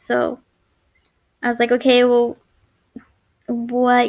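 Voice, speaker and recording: A woman speaks at a fairly slow pace in a high voice. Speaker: chronic illness vlogger. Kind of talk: personal vlog story. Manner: halting, speech errors; unedited, stumbling.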